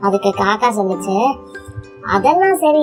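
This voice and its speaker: With lively intonation, a woman talks while music plays in the background. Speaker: storyteller. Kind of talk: bedtime story for children. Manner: calm, soothing.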